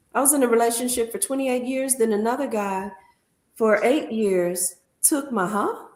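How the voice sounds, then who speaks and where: Recorded with audible room echo, a woman talks in a fairly high voice with ordinary pitch variation. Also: moderate pace. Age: 60s. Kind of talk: casual chat.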